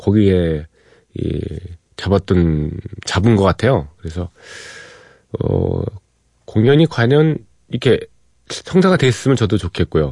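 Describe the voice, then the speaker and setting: At a very slow pace, a dark, mellow voice with a playful tone swings very widely in pitch, the sound dry and close with no echo. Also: man. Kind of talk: radio DJ patter. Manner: informal and playful, joking about music trivia and his own show.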